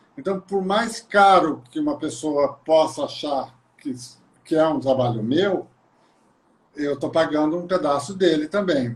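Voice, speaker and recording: The speech moves at a fairly slow pace, with ordinary pitch variation and long, frequent pauses. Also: man, fairly high pitch for a man. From Brazil, Maringá (Paraná). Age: 60s. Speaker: visual artist. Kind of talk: casual interview. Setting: live video call.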